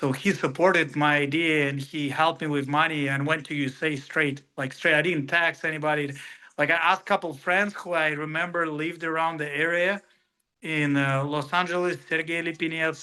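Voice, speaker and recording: A man's fairly high, bright, sharp voice with a Russian accent, monotone and flat, at a fairly quick pace against a quiet background. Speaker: professional MMA fighter. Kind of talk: interview. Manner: halting.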